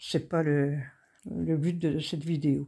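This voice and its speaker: A woman speaks at a very slow pace in a very deep, low pitch with a dark, mellow tone. The recording is very clean, and the background is silent. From Brittany, France (Finistère). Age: 60s. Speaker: craft YouTuber. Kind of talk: casual vlog monologue. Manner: hesitant, many fillers.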